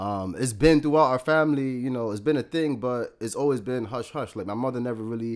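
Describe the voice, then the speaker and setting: In a New York accent, a man talks at a fairly quick pace. The recording is very clean, with a silent background. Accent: New York City. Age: 30s. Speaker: entrepreneur and mental health advocate. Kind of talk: casual interview chat.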